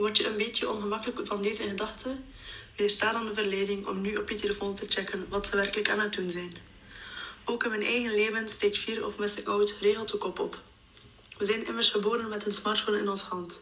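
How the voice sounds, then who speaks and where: A woman at medium pitch, flat and monotone, fairly quick in pace, with noticeable background noise. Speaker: psychology student. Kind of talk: scripted narration.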